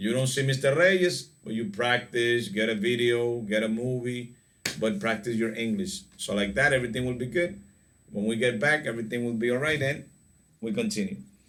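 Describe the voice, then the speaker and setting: A man speaks at a moderate pace in a medium pitch, his intonation lively, with audible room echo around him. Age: 40s. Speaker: English teacher. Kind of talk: online class lesson.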